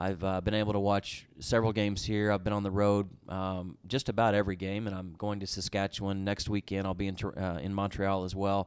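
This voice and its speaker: A man's fairly low voice with an Oklahoma accent, fairly quick, with hardly any pauses and monotone, flat intonation. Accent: Oklahoma American. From Oklahoma, US (Tulsa area). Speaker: sports team executive. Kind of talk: interview.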